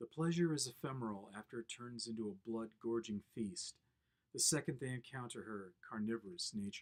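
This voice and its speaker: This man has a normal speaking voice, a medium pitch and a moderate pace. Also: ordinary pitch variation. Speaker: poet. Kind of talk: poetry reading.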